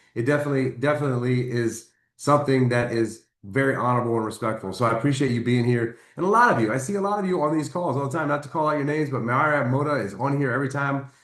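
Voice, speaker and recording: Speaking at a very fast pace with hardly any pauses, a man holds a medium pitch with ordinary pitch variation. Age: 50s. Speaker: network marketing team leader. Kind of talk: motivational training call. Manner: animated.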